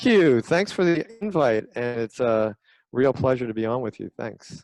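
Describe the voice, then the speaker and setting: Music plays in the background as a man talks. He keeps a moderate pace with lively intonation. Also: medium pitch for a man, dry, close sound with no echo. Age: 70s. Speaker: retired periodontist. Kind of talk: podcast interview.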